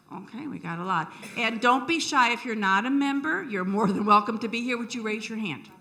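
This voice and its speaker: Amid audible room echo and noticeable background noise, a woman talks fairly quickly at a fairly high pitch with lively intonation. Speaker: membership chair of a historical society. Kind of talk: event welcome speech. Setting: lecture hall with audience. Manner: loud; friendly and animated.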